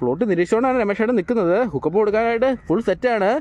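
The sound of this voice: Speaking at a very fast pace, a man uses a high-pitched voice with a slightly mellow tone. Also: lively intonation.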